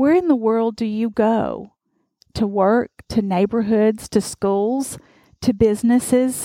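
A woman with a fairly high pitch and a dark, mellow tone speaks at a very slow pace, the sound dry and close with no echo. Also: ordinary pitch variation. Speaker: pastor. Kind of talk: sermon.

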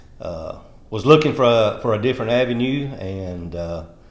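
A man with a Tennessee accent speaks with lively intonation. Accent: rural Tennessee Southern drawl.

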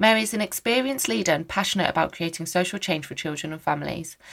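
A woman speaks at a very fast pace with a fairly low pitch. Her intonation is lively. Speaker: podcast host and social worker. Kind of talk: casual interview.

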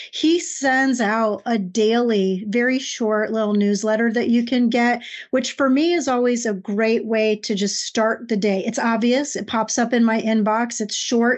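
A woman's normal speaking voice, fairly high in pitch and fairly slow, with very even loudness, fairly even intonation and hardly any pauses. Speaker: podcast co-host. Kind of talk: casual podcast conversation.

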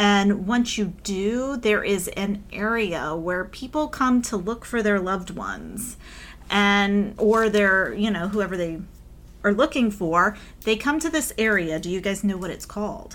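A plain, everyday voice speaks at a fairly slow pace with ordinary pitch variation. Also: woman, medium pitch for a woman. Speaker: podcast host and author. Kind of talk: casual chat.

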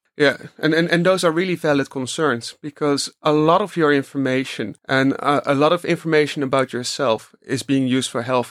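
With a Dutch accent, a man speaks fairly quickly at a fairly high pitch with fairly even intonation, in a dry, close sound with no echo. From Netherlands. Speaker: research analyst. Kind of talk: interview. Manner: halting, many repetitions.

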